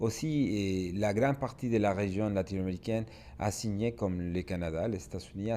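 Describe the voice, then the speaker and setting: Moving at a fairly quick pace, a man's fairly low voice has a dark, mellow tone and ordinary pitch variation. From Mexico. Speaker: business expert speaker. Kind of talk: webinar presentation.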